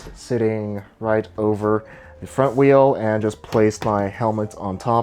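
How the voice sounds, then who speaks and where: Music runs in the background. A man talks very slowly over it. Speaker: travel cycling vlogger. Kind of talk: tutorial.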